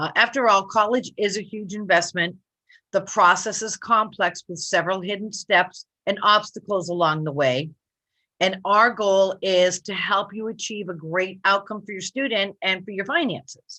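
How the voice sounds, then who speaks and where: A woman's bright, sharp voice at medium pitch, moderately paced, with ordinary pitch variation and big swings in loudness. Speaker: college planning advisor. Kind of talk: webinar presentation. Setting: live online stream.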